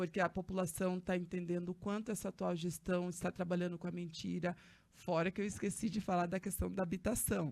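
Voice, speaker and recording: A woman speaks with fairly low pitch, vocal fry, and very even loudness. Her intonation is monotone and flat. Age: 30s. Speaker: social activist and council candidate. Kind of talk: podcast interview. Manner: hesitant, with fillers.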